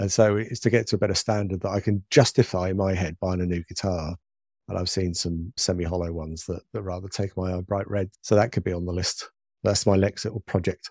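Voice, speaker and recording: Someone with a British accent talks at a fairly quick pace, and the sound is dry and close with no echo on a very clean recording with a silent background. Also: man, very deep, low pitch for a man. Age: 60s. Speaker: radio presenter and funeral celebrant. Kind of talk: interview conversation. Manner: animated.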